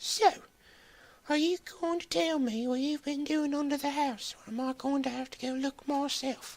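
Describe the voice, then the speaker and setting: High-pitched put-on character voice from a woman at a moderate pace. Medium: read story. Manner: sarcastic.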